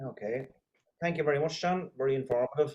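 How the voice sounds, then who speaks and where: The speaker is a man with an Irish accent. His voice sits fairly high in pitch. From Ireland. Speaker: interview host. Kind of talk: interview.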